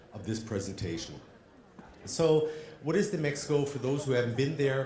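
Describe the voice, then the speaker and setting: In an American accent, the speaker goes at a fairly quick pace with lively intonation and audible room echo. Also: man. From Germany. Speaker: trade fair representative. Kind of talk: conference presentation. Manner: hesitant, with ums.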